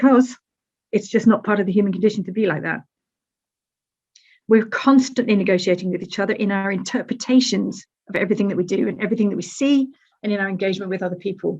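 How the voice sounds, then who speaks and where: A woman speaks very fast yet with long, frequent pauses, her medium, somewhat breathy voice showing ordinary pitch variation. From Britain. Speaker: university academic. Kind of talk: conference lecture. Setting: webinar. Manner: animated, conversational with rhetorical questions.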